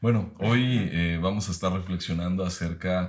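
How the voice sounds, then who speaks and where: On a very clean recording with a silent background, a man with a Mexican accent speaks fairly slowly in a very deep, low voice. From Mexico, Guadalajara, Jalisco. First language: Mexican Sign Language (speaking Spanish). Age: 30s. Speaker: professor. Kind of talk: podcast conversation.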